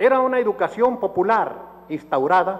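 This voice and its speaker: Here a man speaks at a moderate pace. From Mexico, Tuxpan, Nayarit. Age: 70s. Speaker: book author. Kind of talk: book presentation speech.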